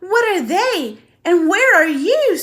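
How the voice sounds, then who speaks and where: Speaking in a put-on character voice, a woman sounds squeaky at an extremely high pitch, with very wide pitch swings. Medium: read story.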